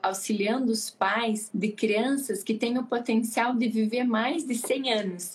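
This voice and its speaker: A woman talks very slowly, her intonation staying fairly even. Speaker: pediatrician. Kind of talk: casual chat. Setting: live stream.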